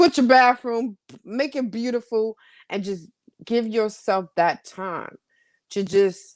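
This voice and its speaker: The recording is very clean, with a silent background. A woman speaks at a very slow pace with lively intonation. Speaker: podcast co-host. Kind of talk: casual talk on self-care with slides. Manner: calm, low-pitched delivery.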